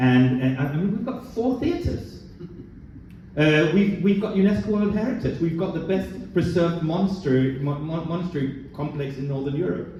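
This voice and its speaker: A man's high-pitched voice with a Danish accent at a moderate pace, with audible room echo and noticeable background noise. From Denmark, western Jutland. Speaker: port director. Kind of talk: panel discussion. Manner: halting, many repetitions.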